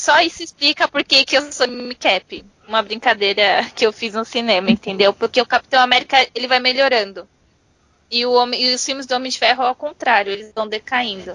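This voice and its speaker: A woman's high voice at a fairly quick pace, with ordinary pitch variation and a dry, close sound with no echo. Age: 20s. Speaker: podcast guest. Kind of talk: casual chat.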